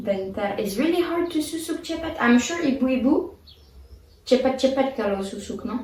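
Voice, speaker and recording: A woman speaks with a French accent in a high-pitched voice and lively intonation. Noticeable background noise runs underneath. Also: moderate pace. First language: French (speaking Indonesian). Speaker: vlogger. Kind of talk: casual chat.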